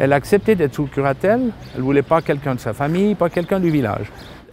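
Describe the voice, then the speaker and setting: Fairly high in pitch, a man's voice shows ordinary pitch variation. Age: 60s. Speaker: retired police officer, volunteer guardian. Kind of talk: testimony. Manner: halting, with repetitions and hesitations.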